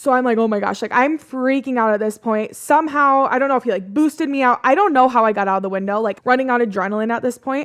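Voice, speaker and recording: A woman with a Midwestern American accent speaks in a high voice with an animated tone and lively intonation. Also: quiet background. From US Midwest. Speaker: podcast host. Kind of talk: casual storytelling.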